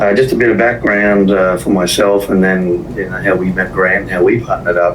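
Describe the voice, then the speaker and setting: In an Australian accent, a man speaks at a fairly quick pace and a fairly low pitch with ordinary variation, heard through noticeable background noise and audible room echo. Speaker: business finance partner. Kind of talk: podcast interview.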